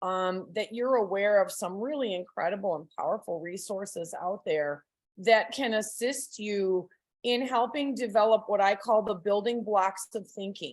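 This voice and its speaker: A woman speaks in a normal speaking voice at a moderate pace, with a medium pitch and ordinary pitch variation. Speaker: parent trainer. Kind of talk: lecture.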